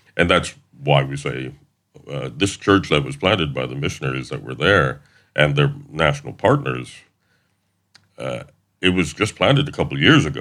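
A man speaks at a moderate pace with a very deep, low pitch and vocal fry. His pitch varies in an ordinary way, with long, frequent pauses. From US South, Middle Tennessee (Wayne County). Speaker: missionary. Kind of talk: interview.

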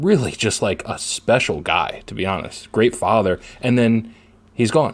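Speaking at a fairly slow pace, a man uses lively intonation at a medium pitch, with vocal fry. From Philadelphia area, US. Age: 20s. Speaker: sports writer and podcast co-host. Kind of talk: casual sports chat.

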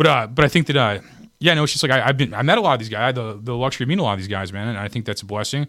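On a very clean recording with a silent background, a man speaks at a very fast pace with a bright, sharp tone. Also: medium pitch for a man, lively intonation. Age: 30s. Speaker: comedian and podcast host. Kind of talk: casual chat.

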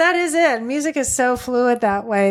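A woman speaks with an American accent. The recording is very clean, with a silent background. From US South, southern Virginia (Roanoke, Appalachians). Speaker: podcast host. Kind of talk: casual interview conversation.

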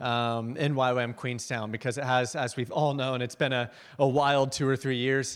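A man at a moderate pace and medium pitch, an unremarkable speaking voice on a very clean recording with a silent background. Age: 20s. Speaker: missionary and guest speaker. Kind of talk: sermon-style testimony. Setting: church.

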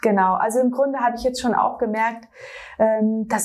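At a moderate pace, a woman with a normal speaking voice talks in a fairly high pitch. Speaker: fashion designer. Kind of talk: interview. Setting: designer's studio.

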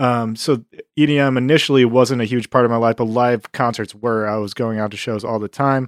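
An unremarkable speaking voice from a man with an American accent, medium in pitch with fairly even intonation, at a fairly quick pace, in a dry, close sound with no echo and a quiet background. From Buffalo, New York, US. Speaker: music artist manager and club owner. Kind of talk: casual interview chat.

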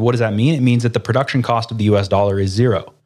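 Recorded very cleanly against a silent background, a man with an ordinary speaking voice talks at medium pitch with fairly even intonation. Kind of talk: interview.

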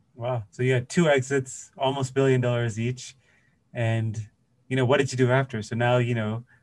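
A man with a Canadian accent talks at a fairly quick pace in a somewhat breathy voice, at medium pitch, with monotone, flat intonation. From Toronto, Canada. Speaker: podcast host. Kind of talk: casual interview chat.

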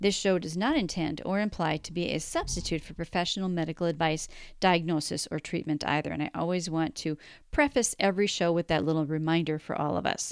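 In a very clean recording with a silent background, a woman with a normal speaking voice talks at a fairly quick pace, her pitch fairly low with ordinary pitch variation. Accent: American. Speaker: podcast host. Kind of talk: interview, casual chat.

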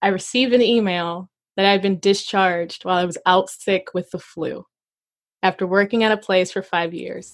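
An unremarkable speaking voice from a woman of medium pitch, with an American accent, fairly even intonation and a moderate pace. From Arkansas, US South. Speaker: comedian and teaching artist. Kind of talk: casual interview chat.

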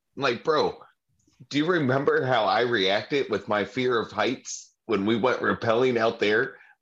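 An unremarkable speaking voice from a man with an American accent, medium in pitch, with ordinary pitch variation at a fairly slow pace. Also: quiet background. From Ohio. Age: 30s. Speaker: podcast co-host. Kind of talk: casual chat.

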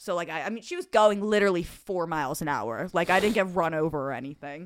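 A Philadelphia-area accent on a very clean recording with a silent background. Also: woman. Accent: Delco Philadelphia-area. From Delaware County, Pennsylvania. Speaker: podcast host. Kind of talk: casual banter.

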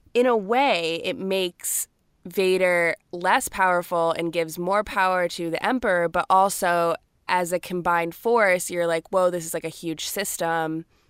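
A woman with an American accent and an unremarkable speaking voice talks at medium pitch and a moderate pace, recorded very cleanly against a silent background with a dry, close sound and no echo. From US South (Georgia). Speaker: podcast co-host. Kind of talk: casual chat.

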